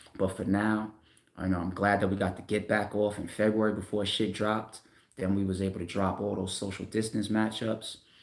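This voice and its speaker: A man talks in a New York accent at a fairly quick pace. His pitch is fairly low. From Staten Island, New York. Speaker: battle rap league owner. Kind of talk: casual livestream talk. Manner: casual, animated.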